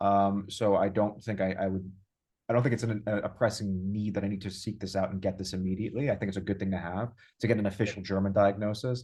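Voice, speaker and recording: Against a quiet background, a man with a New York accent speaks at a very fast pace and fairly low pitch, his dark, mellow tone held in a monotone, flat intonation. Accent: New York American. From US, New York. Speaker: user experience designer. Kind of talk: interview. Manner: halting, many repeated words.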